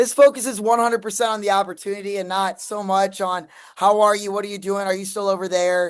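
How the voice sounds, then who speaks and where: Against a quiet background, a woman talks at a medium pitch with fairly even intonation. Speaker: sales trainer. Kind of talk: product demo review. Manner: casual, hesitant fillers.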